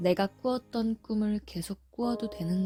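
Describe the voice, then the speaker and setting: Soft-spoken and gentle in tone, a woman talks at a very slow pace with music in the background. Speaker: ASMR sleep audiobook narrator. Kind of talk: sleep audiobook reading, soothing. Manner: gentle, soft-spoken, intimate.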